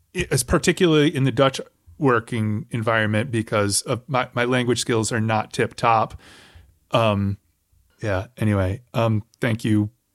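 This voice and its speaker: This man has an ordinary speaking voice at a medium pitch, speaking at a fairly slow pace with ordinary pitch variation, on a very clean recording with a silent background and a dry, close sound with no echo. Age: middle-aged. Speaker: podcast host. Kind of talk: casual interview.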